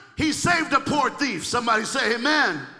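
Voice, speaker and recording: In a raised, projected voice, a man speaks with a bright, sharp, animated tone and ordinary pitch variation. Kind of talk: sermon. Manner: animated, call-and-response, fervent.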